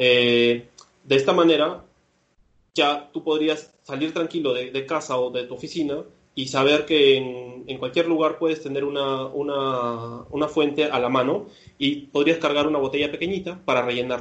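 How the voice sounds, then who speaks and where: A normal speaking voice, a man, fairly high-pitched, moderately paced, fairly even in intonation. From Peru. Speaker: startup founder. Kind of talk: interview.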